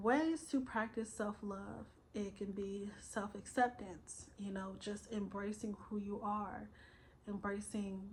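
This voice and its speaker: Very slow, somewhat breathy speech from a woman. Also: medium pitch for a woman. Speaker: self-help vlogger. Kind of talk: motivational vlog monologue. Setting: recorded at night, solo video. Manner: casual, filler-heavy.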